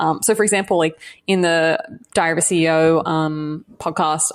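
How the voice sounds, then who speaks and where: A woman's creaky voice sits at a fairly low pitch, with very even loudness. She talks at a moderate pace with fairly even intonation. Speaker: podcast guest.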